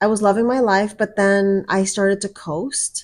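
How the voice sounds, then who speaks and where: A woman's plain, everyday voice at a medium pitch and a moderate pace. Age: 50s. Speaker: vlogger. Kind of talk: personal vlog monologue. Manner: casual conversational.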